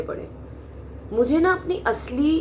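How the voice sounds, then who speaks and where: Amid audible room echo and noticeable background noise, a woman speaks with very wide pitch swings. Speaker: vlogger. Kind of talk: personal monologue. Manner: blunt, direct.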